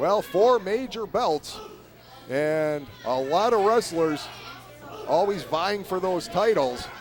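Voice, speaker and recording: A man speaks at a very slow pace in a high voice with lively intonation and long, frequent pauses, while crowd noise carries on in the background. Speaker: wrestling commentator. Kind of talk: live sports commentary. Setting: live event venue.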